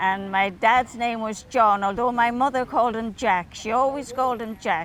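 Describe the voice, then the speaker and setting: At a moderate pace, a woman with a Dublin accent talks in a fairly high pitch with ordinary pitch variation. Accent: Dublin Irish. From Ireland. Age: 80s+. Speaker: elderly local resident. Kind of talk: reminiscing interview.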